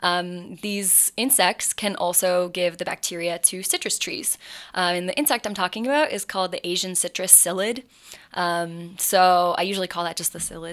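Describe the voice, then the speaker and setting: A woman with an American accent speaks in a plain, everyday voice at a medium pitch and moderate pace. Her pitch varies in an ordinary way, and the recording is very clean with a silent background. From Appalachian Ohio, Athens. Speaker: graduate student researcher. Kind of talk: casual interview.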